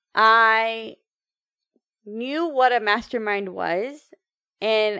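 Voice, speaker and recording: A woman with a bright, sharp tone is heard on a very clean recording with a silent background. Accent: American. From United States, Indian heritage. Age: 30s. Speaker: entrepreneur and empowerment coach. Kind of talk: casual interview chat.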